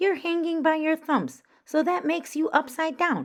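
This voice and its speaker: Someone performs a loud, squeaky, high-pitched put-on character voice. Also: moderate pace. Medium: read story.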